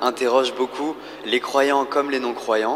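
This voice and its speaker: With noticeable noise behind him, a man of medium pitch talks at a fairly slow pace. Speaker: round table moderator. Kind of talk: panel moderation. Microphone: too far from the mic, hard to hear.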